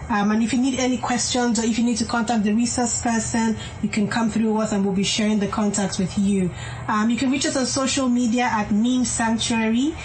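Faint music plays in the background as a woman talks at a fairly quick pace and fairly high pitch, with fairly even intonation and very even loudness. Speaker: clinical psychologist; radio show host. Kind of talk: radio talk show. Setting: studio. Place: studio.

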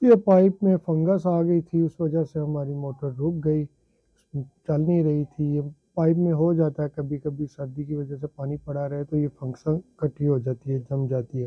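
A man's fairly high voice with a slightly husky edge, fairly even intonation and a moderate pace, in a dry, close sound with no echo

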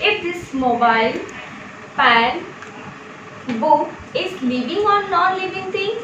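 A woman talks fairly slowly, with noticeable noise in the background. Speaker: teacher. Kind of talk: lecture. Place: home room. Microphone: camera far.

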